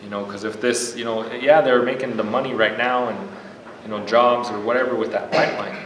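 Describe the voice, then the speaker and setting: A man talks at a fairly quick pace with ordinary pitch variation and big swings in loudness. Audible room echo and light background noise come through. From South Dakota reservation. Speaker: panelist. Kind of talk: panel discussion. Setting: stage with audience. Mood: earnest, indignant. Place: meeting room. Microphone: camera far.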